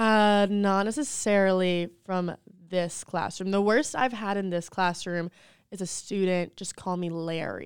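With an American accent, a woman talks in a normal speaking voice at medium pitch, ordinary pitch variation and a fairly slow pace, on a very clean recording with a silent background. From North Carolina, Charlotte area. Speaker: special education teacher. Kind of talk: casual interview chat.

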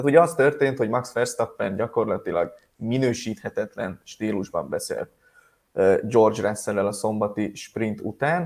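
A man speaks in a normal speaking voice at medium pitch with ordinary pitch variation, on a very clean recording with a silent background. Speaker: motorsport news podcast host. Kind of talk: casual news roundup chat.

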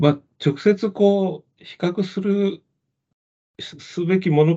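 A man speaks with a dark, mellow tone. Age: 50s. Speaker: medical magazine deputy editor. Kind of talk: casual interview.

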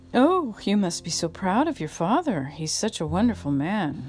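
A breathy, put-on character voice at a middle pitch and moderate pace, with clear music in the background. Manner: gushing, effusive.

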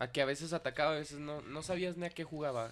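This man has a Mexican accent. His pitch is fairly high. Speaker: football podcast co-host. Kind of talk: casual chat.

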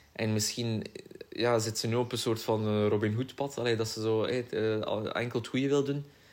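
The man speaks at a medium pitch. His pace is moderate and his intonation monotone and flat. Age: 20s. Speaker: podcast co-host. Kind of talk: casual chat.

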